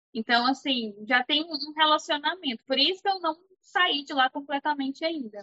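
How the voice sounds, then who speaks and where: This woman speaks at a moderate pace with a high pitch. Her pitch variation is ordinary. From Brazil. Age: 20s. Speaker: cleaning business owner. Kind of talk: casual interview chat.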